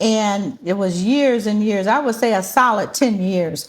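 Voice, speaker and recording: A somewhat breathy woman's voice at medium pitch, with ordinary pitch variation and a fairly slow pace. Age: 60s. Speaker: author and publishing professional. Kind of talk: interview. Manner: conversational, frequent affirmations.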